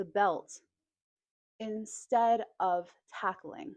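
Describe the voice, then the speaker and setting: This woman's fairly high voice carries a lively intonation. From United States. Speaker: English teacher. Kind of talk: educational talk to camera, slow English lesson. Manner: slow, clear, measured.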